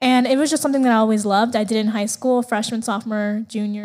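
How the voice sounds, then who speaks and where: A woman with an American accent speaks in a normal speaking voice at a fairly high pitch. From Las Vegas, Nevada (US). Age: 20s. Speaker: TV news production worker. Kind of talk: casual interview chat.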